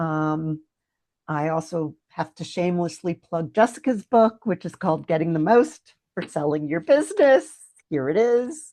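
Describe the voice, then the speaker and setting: Against a quiet background, a woman with a fairly low pitch and a dark, mellow tone speaks at a fairly slow pace with lively intonation. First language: French. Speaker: exit planning business advisor. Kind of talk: casual interview.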